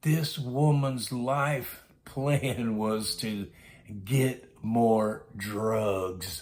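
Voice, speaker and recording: This is a man speaking at a medium pitch. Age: 60s. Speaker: storytelling vlogger. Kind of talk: casual monologue storytelling.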